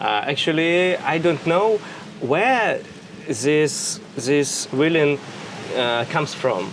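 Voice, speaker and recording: A man talks in a fairly high pitch with lively intonation. Noticeable background noise sits behind him. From Russia. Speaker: interviewee. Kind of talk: interview. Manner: halting, many fillers.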